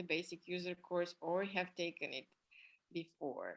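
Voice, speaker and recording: A woman speaks with a non-native accent. Her intonation is monotone and flat. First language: not English. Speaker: art therapy instructor and coach. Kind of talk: online class presentation. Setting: online video class with screen share. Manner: hesitant with fillers.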